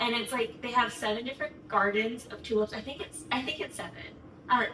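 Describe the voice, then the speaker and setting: A woman talks with an American accent and ordinary pitch variation. Noticeable background noise is present. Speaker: vlogger. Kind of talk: casual storytime. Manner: fast; animated.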